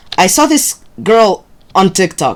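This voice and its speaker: With noticeable background noise behind her, the woman's tone is animated. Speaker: gaming streamer. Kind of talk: casual live-stream chat. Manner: halting.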